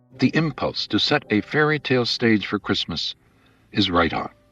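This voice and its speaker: The speech moves at a moderate pace with ordinary pitch variation. Music plays behind a dry, close sound with no echo. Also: man. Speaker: preacher. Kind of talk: radio sermon, conversational.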